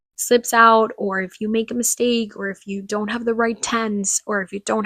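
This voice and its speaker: A woman with a Spanish accent speaks at a moderate pace in a fairly high, bright, sharp voice with monotone, flat intonation. The very clean recording has a silent background and a dry, close sound with no echo. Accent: Spanish-speaker accent in English. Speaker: podcaster. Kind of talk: casual monologue.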